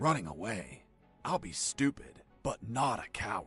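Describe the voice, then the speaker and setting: Using a put-on character voice at a medium pitch, a man speaks at a moderate pace with very wide pitch swings as music plays in the background. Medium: machinima. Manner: gruff, boastful.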